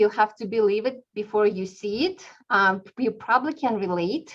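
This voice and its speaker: A woman with a non-native accent speaks at a fairly slow pace and fairly high pitch. Her pitch varies in an ordinary way. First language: not English. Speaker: real estate team leader and class instructor. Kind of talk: webinar class presentation.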